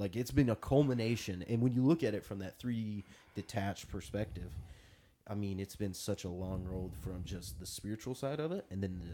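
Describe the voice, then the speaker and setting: A man's fairly low, dark, mellow voice at a fairly quick pace, with ordinary pitch variation. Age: 20s. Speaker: podcast co-host, jiu-jitsu competitor. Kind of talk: casual chat.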